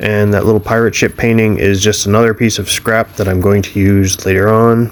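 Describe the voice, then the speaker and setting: An unremarkable speaking voice from a man, fairly low-pitched and fairly quick in pace. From Canada. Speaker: spray paint artist. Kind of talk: narrated voiceover. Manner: casual.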